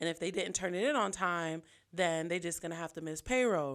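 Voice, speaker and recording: Recorded very cleanly over a silent background, the voice has a bright, sharp tone and moves at a moderate pace. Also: woman. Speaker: podcast co-host. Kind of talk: casual chat. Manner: loud.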